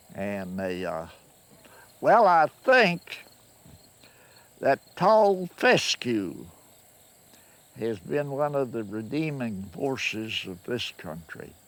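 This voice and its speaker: A man with a Kentucky accent talks at a very slow pace and medium pitch, leaving long, frequent pauses. His pitch swings very widely and his loudness rises and falls in big swings. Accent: Kentucky Southern American. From Kentucky, USA. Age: 80s+. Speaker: farmer. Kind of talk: interview answer. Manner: slow, hesitant.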